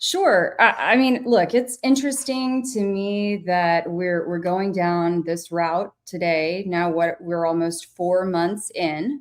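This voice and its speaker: A woman with a Texas accent, medium in pitch with ordinary pitch variation, at a very slow pace with hardly any pauses. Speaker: YouTube commentator guest. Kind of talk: livestream discussion.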